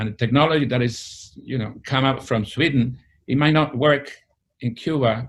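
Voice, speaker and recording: A man with a Spanish accent, medium pitch, moderate pace and fairly even intonation. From Spain, Madrid. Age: 70s. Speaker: retired historian. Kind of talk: interview. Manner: halting.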